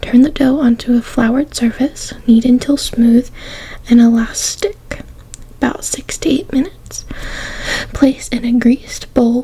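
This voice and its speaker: Someone whispers in a soft-spoken way at a fairly slow pace, with noticeable background noise. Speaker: ASMR creator. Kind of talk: ASMR magazine reading. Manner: soft-spoken, whispered.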